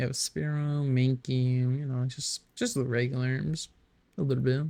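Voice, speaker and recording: At a fairly slow pace, a man speaks in a dark, mellow tone at a medium pitch with ordinary pitch variation. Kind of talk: casual gameplay commentary. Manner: hesitant, stuttering.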